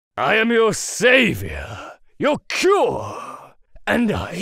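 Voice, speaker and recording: A raspy put-on character voice at a very slow pace. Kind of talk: comic parody acting. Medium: cartoon. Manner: theatrical at first, then sarcastic and grumpy.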